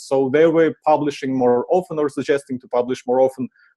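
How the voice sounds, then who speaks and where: A man with a Ukrainian accent speaks at a fairly high pitch, his tone dark and mellow. His pitch moves in an ordinary way, and the sound is dry and close with no echo. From Ukraine. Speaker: marketing conference speaker. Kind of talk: conference presentation. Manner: frequent filler uh.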